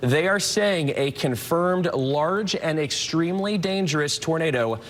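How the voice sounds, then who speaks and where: The speaker has an American accent and ordinary pitch variation. Noticeable noise sits in the background. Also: man. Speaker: TV meteorologist. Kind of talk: TV weather forecast. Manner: energetic, fast-paced broadcast delivery.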